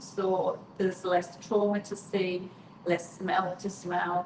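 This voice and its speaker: A woman's medium-pitched voice against noticeable background noise. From northeast England, County Durham. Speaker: mortician. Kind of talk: live stream Q&A. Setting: live stream.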